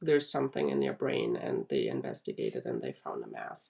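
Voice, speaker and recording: A woman with a German accent. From Germany. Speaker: brain cancer survivor. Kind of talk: interview testimony.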